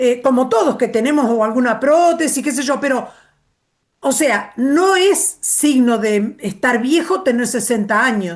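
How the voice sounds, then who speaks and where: Pitched high for a woman, her voice moves with lively intonation. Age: 60s. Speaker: course participant. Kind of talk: casual chat.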